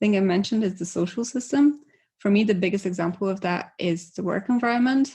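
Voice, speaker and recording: A woman speaks at a medium pitch with a somewhat breathy sound and ordinary pitch variation against a quiet background. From Poland. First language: Polish. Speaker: conference speaker. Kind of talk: conference talk.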